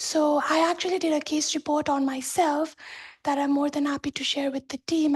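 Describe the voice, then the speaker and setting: Her pitch is high and her intonation monotone and flat. The woman keeps a moderate pace. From Nepal. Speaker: cancer survivor and research fellow. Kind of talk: testimony. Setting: video call.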